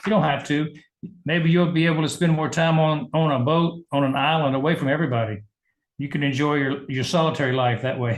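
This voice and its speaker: Moving at a fairly quick pace, a man talks with a Southern US accent and fairly even intonation. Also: fairly high pitch for a man. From US South, Georgia. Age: 70s. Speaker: medical doctor and business leader. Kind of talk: interview.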